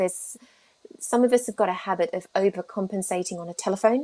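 A woman speaks at a medium pitch with a British accent. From UK. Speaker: speech therapist; guest. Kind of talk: interview. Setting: video call. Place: home room. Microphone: video call.

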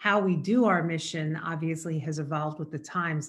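Speaking at a moderate pace, a woman has a fairly low pitch and a somewhat breathy voice. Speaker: nonprofit board member. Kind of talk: interview. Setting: remote video call. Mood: earnest, proud. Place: home room. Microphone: video call.

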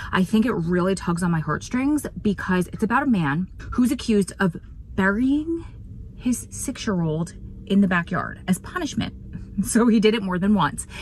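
A woman's lively intonation at a moderate pace, dry with no echo, over light background noise. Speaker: true crime vlogger. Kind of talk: casual vlog chat. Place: car. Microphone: phone near.

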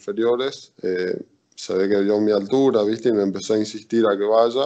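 An unremarkable speaking voice moves at a fairly quick pace with fairly even intonation against a quiet background. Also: man. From Argentina, Chaco then Carlos Paz (Córdoba); Argentina. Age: 20s. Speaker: volleyball player; interviewee. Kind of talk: interview. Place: home room. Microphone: video call.

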